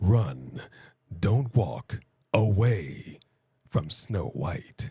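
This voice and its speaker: Putting on a character voice, a man speaks very slowly in a fairly low pitch with a dramatic tone. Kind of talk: theatrical. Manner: dramatic, deep announcer delivery.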